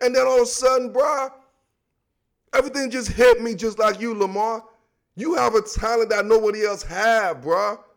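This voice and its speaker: A man with a high pitch speaks in an animated tone at a moderate pace, with ordinary pitch variation. He leaves long, frequent pauses. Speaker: sports podcast host. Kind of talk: solo sports commentary monologue. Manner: casual slangy delivery.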